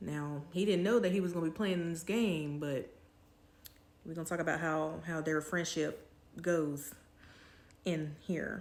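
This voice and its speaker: Speaking at a fairly slow pace with long, frequent pauses, a woman with a fairly low pitch keeps her intonation fairly even, and audible room echo surrounds her voice. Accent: American. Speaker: YouTuber, TV reviewer. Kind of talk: casual review vlog. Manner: casual, chatty with fillers.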